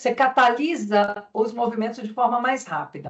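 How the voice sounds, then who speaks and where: High in pitch, a woman speaks with ordinary pitch variation. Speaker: conference speaker. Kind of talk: conference presentation. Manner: fast.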